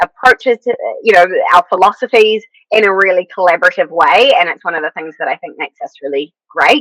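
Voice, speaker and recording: In a New Zealand accent, a woman swings her pitch very widely, her tone bright and sharp, with a dry, close sound and no echo. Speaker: podcast host. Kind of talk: casual chat.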